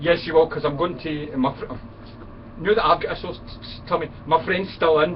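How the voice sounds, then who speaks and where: Ordinary pitch variation and a moderate pace in a Scottish accent, with noticeable background noise behind. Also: man. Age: 50s. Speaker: friend of the channel owner. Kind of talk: casual chat. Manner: animated.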